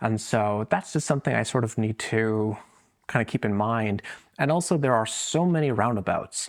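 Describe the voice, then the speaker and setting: On a very clean recording with a silent background, a man speaks at a moderate pace and medium pitch, with ordinary pitch variation and very even loudness. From Michigan, US. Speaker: travel vlogger. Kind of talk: casual travel vlog. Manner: casual, filler-heavy.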